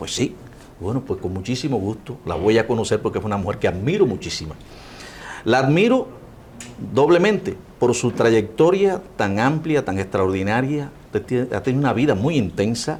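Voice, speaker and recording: Amid noticeable background noise, a man's voice moves in very wide pitch swings. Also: medium pitch for a man, moderate pace. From Cuba. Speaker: interviewer. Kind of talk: interview.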